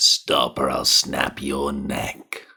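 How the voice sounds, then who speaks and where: A man's put-on character voice, raspy and growling. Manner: threatening.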